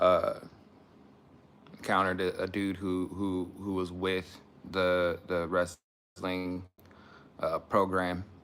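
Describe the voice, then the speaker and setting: A man speaks quietly at a very slow pace, his very deep, low pitch held in a monotone, flat intonation with long, frequent pauses. The recording is very clean, with a silent background. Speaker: YouTube commentator. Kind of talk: livestream commentary. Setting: at home, live stream. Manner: halting.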